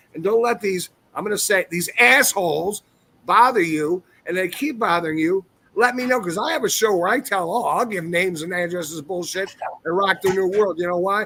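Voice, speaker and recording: A man projects a raised voice with a bright, sharp tone and high pitch. His pace is fairly quick, with ordinary pitch variation. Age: 60s. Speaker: ex-professional wrestler. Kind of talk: casual chat.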